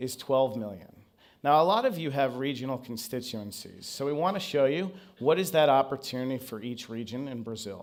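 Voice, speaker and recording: Audible room echo surrounds a man talking at a fairly quick pace and medium pitch with ordinary pitch variation. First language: not Portuguese. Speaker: marketing consultant. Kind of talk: conference presentation.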